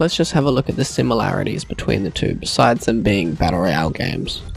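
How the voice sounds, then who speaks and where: With music in the background, a man talks at a fairly quick pace and medium pitch, his pitch swinging very widely. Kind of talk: gaming review narration.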